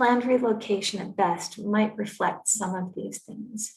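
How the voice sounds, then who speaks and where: A woman speaks in a North American accent at a moderate pace and medium pitch, with ordinary pitch variation. Hers is a plain, everyday voice. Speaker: climate policy expert. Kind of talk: conference presentation.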